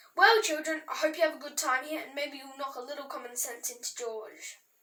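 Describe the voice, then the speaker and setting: A woman's gruff, put-on character voice, high-pitched and fairly quick, with big swings in loudness. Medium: read story. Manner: gruff, dry, hard to read.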